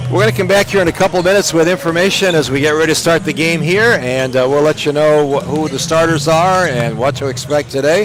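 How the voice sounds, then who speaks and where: Over noticeable background noise, a man with a fairly high pitch talks very fast, his pitch varying in an ordinary way. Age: 70s. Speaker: play-by-play broadcaster. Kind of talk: sports broadcast commentary.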